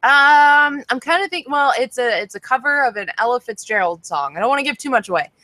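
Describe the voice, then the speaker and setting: Raised and projected, a woman's high, bright, sharp voice comes at a fairly quick pace with an animated tone, the sound dry and close with no echo. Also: lively intonation, hardly any pauses. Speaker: online show co-host and singer. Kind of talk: casual chat. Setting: video call livestream. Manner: loud.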